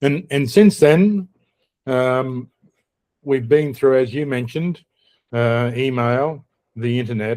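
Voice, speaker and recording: Very slow in pace, a man with an Australian accent talks at a medium pitch with ordinary pitch variation. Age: old. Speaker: podcast host. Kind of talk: casual chat.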